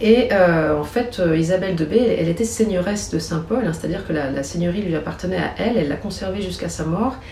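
A woman's fairly low voice at a very fast pace, with ordinary pitch variation, audible room echo and noticeable background noise. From Chablais, Haute-Savoie, France. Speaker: archaeologist and novelist. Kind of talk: interview. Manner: hesitant, with fillers and repetitions.

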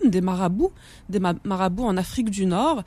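On a very clean recording with total silence behind it, the words unfold fairly slowly. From Algeria (Kabylie). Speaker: author and islamology researcher. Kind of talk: radio interview. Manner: halting, many hesitations and repetitions.

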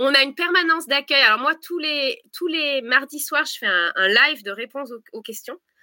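A woman's high-pitched, raised and projected voice, bright and sharp in tone, with lively intonation, a moderate pace, and a dry, close sound with no echo. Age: 30s. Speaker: presidential candidate. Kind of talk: political interview.

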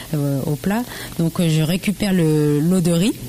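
A woman speaks at a fairly slow pace with a very deep, low pitch and ordinary pitch variation. There is noticeable background noise. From Normandy, France (Le Havre), Laotian family. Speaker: home cook and social media food creator. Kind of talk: casual interview.

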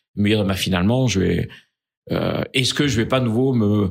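The pitch moves with ordinary variation. The recording is very clean, with a silent background. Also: man. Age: 60s. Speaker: business leader. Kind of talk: interview. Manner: halting.

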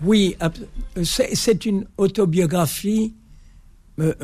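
A man is talking. Background music can be heard behind him. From Algeria (Algiers, pied-noir). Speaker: author and builder. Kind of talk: radio interview. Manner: halting.

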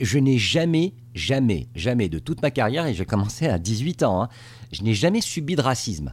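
Very wide pitch swings and vocal fry mark this voice, which moves at a moderate pace. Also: man. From Tunisia. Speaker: TV correspondent. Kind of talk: interview. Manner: halting.

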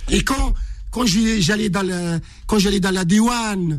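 Audible room echo surrounds a man's high voice and lively intonation. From Morocco (Casablanca). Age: 60s. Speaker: ultra-distance runner. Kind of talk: interview storytelling.

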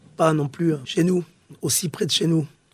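This man's voice is pitched fairly high. He keeps a moderate pace. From southern France, Pyrenees. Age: 40s. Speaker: former special forces soldier and musician. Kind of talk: interview testimony. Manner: halting, with many hesitations.

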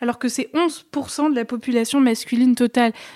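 Her tone dark and mellow, a woman speaks fairly slowly in a high voice with fairly even intonation. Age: 20s. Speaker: podcast host, philosophy student. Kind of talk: interview.

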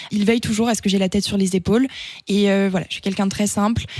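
Speaking at a very fast pace, a woman with a medium pitch keeps a monotone, flat intonation. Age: 20s. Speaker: beauty pageant winner and business student. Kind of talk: radio interview.

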